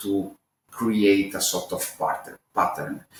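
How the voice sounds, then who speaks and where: Speaking with an Italian accent, a man takes a fairly slow pace. His words come out unhurried. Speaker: author and researcher. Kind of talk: interview. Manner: halting, many fillers and repeats.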